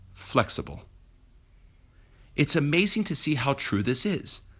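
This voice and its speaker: A man speaks at a moderate pace with a somewhat breathy voice. His pitch swings very widely. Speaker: real estate professional. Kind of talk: personal essay reading.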